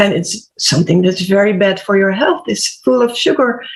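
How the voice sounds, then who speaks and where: In a Dutch accent, a woman speaks at a medium pitch with lively intonation. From Netherlands. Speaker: HR/PR coach and health podcaster. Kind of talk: panel discussion.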